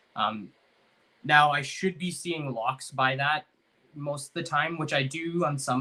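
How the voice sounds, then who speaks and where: Fairly even intonation marks this voice. It belongs to a man. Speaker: ball python breeder, podcast host. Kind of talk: casual podcast chat. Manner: fast.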